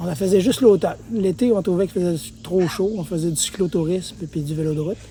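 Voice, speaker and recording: A man talks at a very fast pace with a high pitch and ordinary pitch variation. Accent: Quebec. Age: 60s. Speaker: mountain bike trail builder and former racer. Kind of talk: casual chat.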